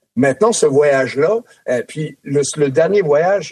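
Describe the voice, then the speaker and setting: A man with a normal speaking voice and a fairly high pitch speaks at a fairly slow pace, the sound dry and close with no echo. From France. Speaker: former NHL player, hockey analyst. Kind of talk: casual chat. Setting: studio.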